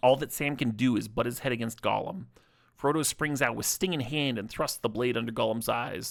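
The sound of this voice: An unforced reading voice, its pitch showing ordinary variation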